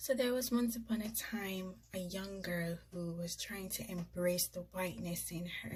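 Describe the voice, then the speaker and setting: Somewhat breathy, a woman speaks in a dark, mellow tone. Her pace is fairly slow and her intonation fairly even. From Jamaica. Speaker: YouTuber. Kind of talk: casual storytelling vlog. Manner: conversational, informal.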